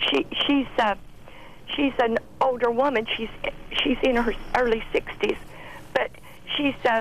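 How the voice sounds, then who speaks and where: A woman with a high pitch speaks at a fairly slow pace, with ordinary pitch variation. Her speech has long, frequent pauses. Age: 70s. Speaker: caller. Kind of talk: call-in story. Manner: halting.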